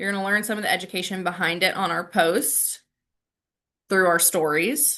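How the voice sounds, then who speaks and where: In a quiet background, a woman with an American accent sounds animated, her tone bright and sharp. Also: medium pitch for a woman, ordinary pitch variation, moderate pace. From US South, Raleigh, North Carolina. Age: 30s. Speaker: salon owner and branding trainer. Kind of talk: virtual training presentation. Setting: video call.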